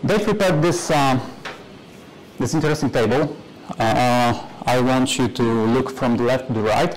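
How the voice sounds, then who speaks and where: A man with a Polish accent speaks at medium pitch, with ordinary pitch variation and very even loudness. Long, frequent pauses break his speech, and light background noise sits behind him. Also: moderate pace. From Poland. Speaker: conference speaker, software developer; conference speaker. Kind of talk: conference talk; technical conference talk. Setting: stage with audience. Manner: hesitant, many fillers. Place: classroom.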